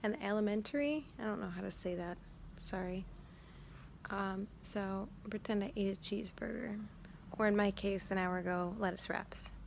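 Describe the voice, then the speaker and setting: A soft-spoken woman at medium pitch with ordinary pitch variation, a moderate pace, and long, frequent pauses. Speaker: student giving recorded presentation. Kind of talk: informal recorded school presentation. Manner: quiet, soft-spoken; hesitant with many fillers.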